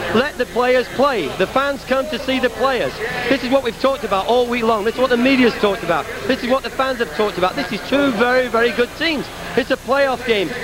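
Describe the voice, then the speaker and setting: Fairly quick speech with ordinary pitch variation over music in the background. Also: man, extremely high pitch for a man, dry sound with no echo. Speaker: soccer coach. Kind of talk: heated halftime interview. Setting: arena floor. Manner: agitated, repetitive. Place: stadium. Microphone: handheld.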